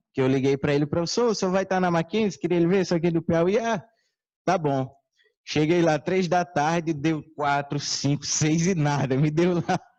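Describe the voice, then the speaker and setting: In a Ceará accent, a man speaks at a high pitch and a moderate pace, with ordinary pitch variation, very even loudness and a quiet background. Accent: Northeastern Brazilian (Ceará). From Ceará, Brazilian Northeast. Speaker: conference speaker. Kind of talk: lecture. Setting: stage with audience.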